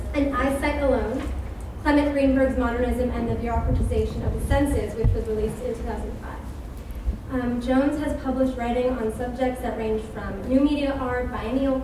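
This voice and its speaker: Over noticeable background noise and audible room echo, a woman speaks in a high pitch at a moderate pace with monotone, flat intonation. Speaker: event host introducing speaker. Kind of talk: speaker introduction read aloud. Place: hall. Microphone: podium.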